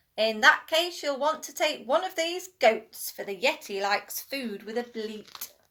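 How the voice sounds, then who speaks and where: A woman uses a put-on character voice, pitched high and growling. She keeps a moderate pace. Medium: read story. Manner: indignant, growly.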